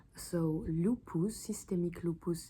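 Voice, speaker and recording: A woman's fairly low, somewhat breathy voice with a French accent and fairly even intonation. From France. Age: 20s. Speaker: medical student. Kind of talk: study revision talk to camera. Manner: casual, hesitant.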